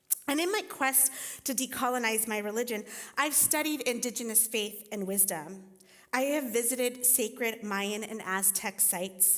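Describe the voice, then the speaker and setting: At a moderate pace, the speech shows ordinary pitch variation, and audible room echo surrounds it. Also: woman, fairly high pitch for a woman. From Costa Rica. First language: Spanish. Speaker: teaching pastor and writing teacher. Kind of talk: sermon.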